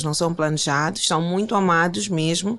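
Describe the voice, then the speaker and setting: With a fairly low pitch, a woman talks at a moderate speed. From Mozambique, Maputo. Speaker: life coach and motivational speaker. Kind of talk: interview conversation.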